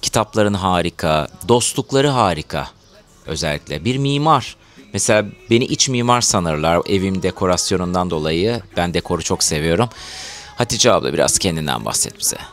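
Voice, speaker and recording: A man with a very deep, low pitch talks at a moderate pace with lively intonation. Music can be heard in the background. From Turkey, Izmir. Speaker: home show host and singer. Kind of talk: casual chat.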